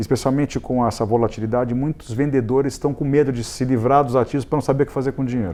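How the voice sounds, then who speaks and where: Very fast, nearly pause-free speech from a man with fairly even intonation, amid noticeable background noise. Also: medium pitch for a man. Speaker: real estate consultancy executive. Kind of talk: studio interview. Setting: TV studio.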